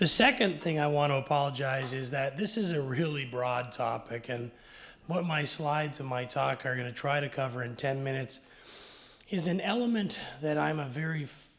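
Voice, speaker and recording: A man talks at a moderate pace, and room echo can be heard around him. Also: fairly high pitch for a man, ordinary pitch variation. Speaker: conference presenter on technology transfer. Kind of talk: conference presentation. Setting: panel session with audience and interpreters. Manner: halting, many repetitions.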